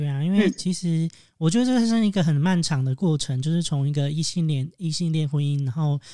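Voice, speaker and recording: On a very clean recording with a silent background, a man with a fairly high pitch and a dark, mellow tone speaks at a fairly quick pace with ordinary pitch variation. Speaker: podcast co-host. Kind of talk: casual chat, podcast interview.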